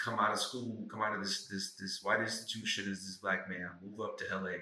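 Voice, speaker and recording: A man with an American accent talks at a fairly low pitch in a monotone, flat intonation. Audible room echo and noticeable background noise fill the recording. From St. Louis, Missouri, US. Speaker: actor and writer. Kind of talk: casual podcast conversation.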